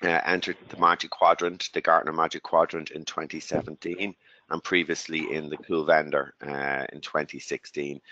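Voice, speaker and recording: A man with an Irish accent talks at a moderate pace in a dry, close sound with no echo over a quiet background. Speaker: tech company executive. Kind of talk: webinar presentation. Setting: webinar call.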